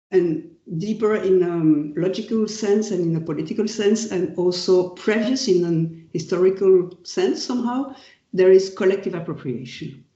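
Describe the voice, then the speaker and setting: Speaking in a French accent, the voice moves at a fairly slow pace. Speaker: professor. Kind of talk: lecture. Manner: halting.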